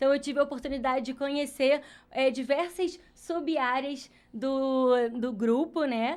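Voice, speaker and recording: This woman talks at a fairly slow pace with a high pitch. Her intonation stays fairly even, and she has a Rio de Janeiro accent. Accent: carioca. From Rio de Janeiro, Brazil. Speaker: HR specialist. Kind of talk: podcast interview.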